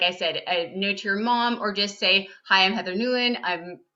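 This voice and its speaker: Speaking in a Southern Californian accent, a woman has a medium pitch and ordinary pitch variation. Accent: Valley Girl. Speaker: nonfiction writer. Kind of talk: class video call Q&A. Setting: video call.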